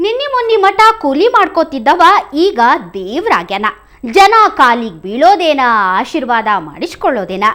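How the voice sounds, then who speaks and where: The woman's voice is high-pitched. Her pitch swings very widely. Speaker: news anchor. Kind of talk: news narration in regional dialect.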